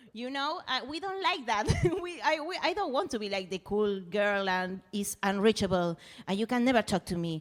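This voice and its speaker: Someone speaks with a Spanish accent at a moderate pace, using very wide pitch swings. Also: woman, fairly high pitch for a woman. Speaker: musician. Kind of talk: casual chat. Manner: halting, searching for words.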